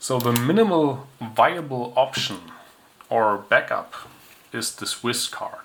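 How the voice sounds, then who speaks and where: Noticeable background noise sits behind a man whose medium pitch varies in an ordinary way. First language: not English. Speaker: tech hobbyist reviewer. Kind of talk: product review. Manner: casual, with hesitations.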